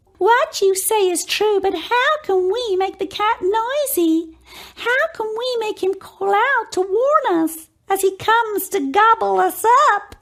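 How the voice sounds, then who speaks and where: In a put-on character voice, the speaker goes at a fairly slow pace, extremely high in pitch and squeaky. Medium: read story.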